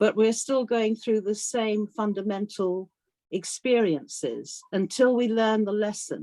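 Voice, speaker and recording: Speaking with a British accent, a woman has a fairly high pitch, a dark, mellow tone and fairly even intonation. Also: fairly slow pace. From Africa and UK boarding school. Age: 60s. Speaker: author. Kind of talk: interview.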